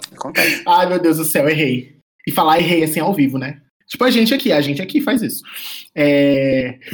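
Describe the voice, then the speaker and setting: A man's fairly high, normal speaking voice with lively intonation at a moderate pace. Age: 20s. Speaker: podcast co-host, art director. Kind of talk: casual chat.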